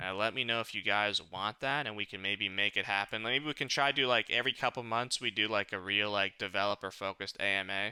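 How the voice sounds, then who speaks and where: A man with a bright, sharp tone at a very fast pace, hardly any pauses. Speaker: game community manager hosting AMA. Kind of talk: live stream AMA wrap-up. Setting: live stream. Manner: casual, many fillers. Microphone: new mic with noise cancellation.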